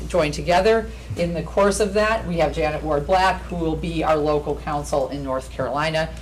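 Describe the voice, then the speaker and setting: A woman talks at a moderate pace with hardly any pauses, with noticeable background noise and audible room echo. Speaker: lawyer. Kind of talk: formal presentation. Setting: public meeting at a podium.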